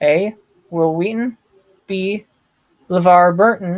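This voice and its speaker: A man talks at a very slow pace and a high pitch. His intonation is fairly even. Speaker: YouTuber. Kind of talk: live stream chat. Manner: halting.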